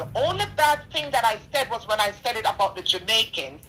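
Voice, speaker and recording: Noticeable background noise sits behind this woman. Her fairly high pitch moves in very wide swings. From Jamaica. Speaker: donor. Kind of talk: testimony.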